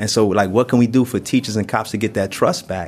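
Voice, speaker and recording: In a New York accent, the speaker moves at a fairly quick pace with fairly even intonation. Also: man. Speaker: prison inmate. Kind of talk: panel discussion. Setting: prison.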